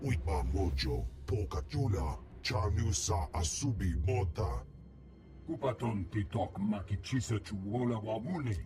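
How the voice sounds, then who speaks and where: A man speaks at a moderate pace in a put-on character voice with a very deep, low pitch. Clear music plays in the background. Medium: video game. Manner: speaks only alien gibberish language.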